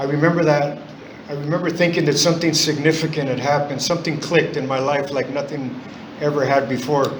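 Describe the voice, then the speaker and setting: Fairly high in pitch, a man talks at a very fast pace in a monotone, flat intonation, with audible room echo and noticeable background noise. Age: 60s. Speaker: AA speaker, recovering alcoholic. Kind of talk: recovery testimony. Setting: in-person meeting. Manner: halting, many fillers.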